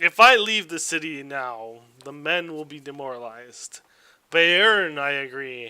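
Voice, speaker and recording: This man uses a put-on character voice. He talks at a moderate pace with fairly high pitch. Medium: actual play. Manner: commanding, stubborn.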